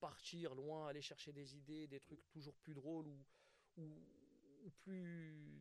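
A man with a fairly high voice speaks very slowly in a flat monotone, with long, frequent pauses. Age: 30s. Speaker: stand-up comedian. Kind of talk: casual interview.

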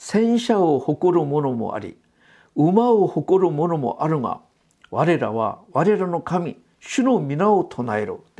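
A very slow pace against a quiet background. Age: 60s. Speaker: pastor. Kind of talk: sermon. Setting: church.

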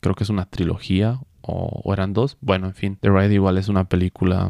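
The man's voice is fairly low with a dark, mellow tone, delivered in a monotone, flat intonation at a fairly quick pace. The sound is dry and close with no echo, a very clean recording with a silent background. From Bolivia, Cochabamba. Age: 20s. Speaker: podcast host. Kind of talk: casual solo chat.

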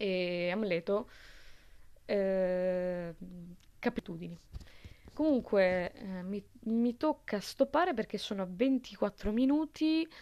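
A woman speaks at a very slow pace with long, frequent pauses, her medium-pitched voice dark and mellow in tone with lively intonation over a quiet background. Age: 20s. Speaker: film podcaster. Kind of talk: casual monologue. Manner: halting.

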